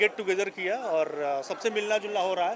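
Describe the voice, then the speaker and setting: Over noticeable background noise, a man with a high pitch speaks with a Bihari accent. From UP/Bihar, India. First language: Bhojpuri (speaking Hindi). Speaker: software engineer and founder of a Bhojpuri content group. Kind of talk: event interview. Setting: party event in Mumbai. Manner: hesitant, frequent fillers.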